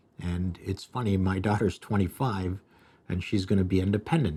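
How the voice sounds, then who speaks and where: In a Canadian accent, a man with a very deep, low pitch speaks at a moderate pace in a dark, mellow tone. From Canada, Toronto area. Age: 60s. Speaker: restaurateur and video host. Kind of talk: live stream monologue. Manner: casual, halting with fillers.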